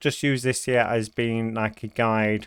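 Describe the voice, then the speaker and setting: On a very clean recording with a silent background, a man with a British accent speaks at a medium pitch. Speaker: gaming YouTuber. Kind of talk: gameplay commentary. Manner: hesitant with many fillers.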